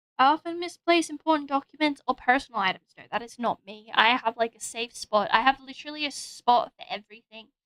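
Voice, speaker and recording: A woman with an Australian accent raises and projects her voice. Her tone is bright and sharp. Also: dry, close sound with no echo. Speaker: vtuber streamer. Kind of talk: casual livestream chat. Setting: livestream with drawing setup.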